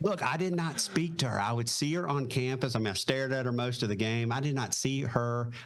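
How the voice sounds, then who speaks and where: Over noticeable background noise, a man speaks with a Southern accent at medium pitch. He moves at a fairly quick pace with hardly any pauses. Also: ordinary pitch variation. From US South, Raleigh, North Carolina. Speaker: retired Marine pilot. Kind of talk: casual interview chat.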